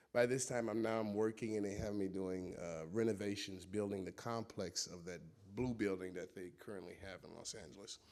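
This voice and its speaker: With a Chicago accent, a man talks at a fairly quick pace and a fairly low pitch. His intonation is fairly even, while his loudness swings widely. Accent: Chicago American English. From US Midwest, Chicago. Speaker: former cult member. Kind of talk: testimony. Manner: halting.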